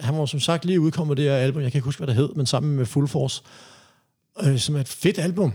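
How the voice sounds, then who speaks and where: Speaking at a very fast pace, a man with a fairly high pitch and a dark, mellow tone shows ordinary pitch variation. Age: 50s. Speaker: reggae DJ and rapper. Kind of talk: interview. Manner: halting.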